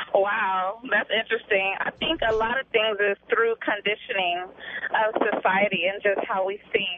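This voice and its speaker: Against noticeable background noise, a woman at medium pitch talks at a moderate pace with fairly even intonation. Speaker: singer. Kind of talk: radio call-in chat. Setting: phone call.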